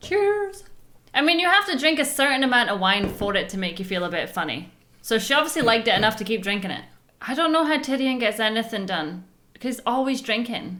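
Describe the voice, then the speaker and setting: Loud and fairly quick, a woman's fairly high voice swings very widely in pitch, with audible room echo and noticeable background noise. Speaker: reaction video host. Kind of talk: casual chat.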